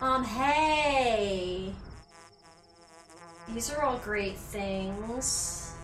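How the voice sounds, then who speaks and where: Music plays in the background as a woman speaks with audible room echo. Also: fairly high pitch for a woman, ordinary pitch variation. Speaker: video game streamer. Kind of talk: gameplay commentary. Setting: live stream.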